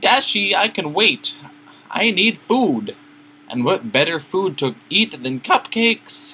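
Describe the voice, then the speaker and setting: A man in a put-on character voice, high-pitched with very wide pitch swings, at a fairly slow pace. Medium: read story. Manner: bubbly.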